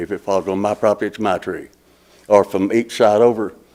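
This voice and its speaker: A man speaks in a fairly low voice with a flat, monotone delivery. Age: 70s. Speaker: property owner at hearing. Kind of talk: testimony. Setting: public meeting. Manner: halting.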